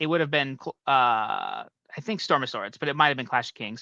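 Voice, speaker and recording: Over a quiet background, a man with a fairly high pitch sounds bright and sharp, the recording dry and close with no echo. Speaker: book series fan co-host. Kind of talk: casual chat. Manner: fast.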